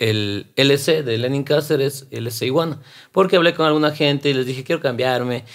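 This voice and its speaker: A man is speaking. The background around him is quiet. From Quito, Ecuador (south); Ecuador. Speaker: rapper and actor; actor. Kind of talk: interview conversation. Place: studio. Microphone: studio mic.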